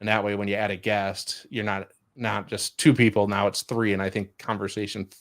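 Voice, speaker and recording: Against a silent background in a very clean recording, a man with a fairly low pitch speaks in a flat monotone. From Chicago, US Midwest. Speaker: podcast host. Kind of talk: casual chat. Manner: fast.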